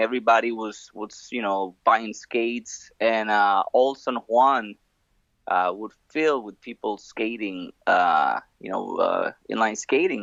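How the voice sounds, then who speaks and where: A man with a slight Spanish accent speaks very slowly at a medium pitch. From Puerto Rico. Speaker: former pro inline skater. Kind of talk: casual interview. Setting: phone call. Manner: halting, many repeated words.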